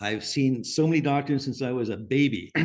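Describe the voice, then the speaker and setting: Speaking at a fairly quick pace, a man uses fairly even intonation. His pitch sits fairly high. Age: 60s. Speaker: natural skincare company founder. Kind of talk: webinar panel talk. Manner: halting.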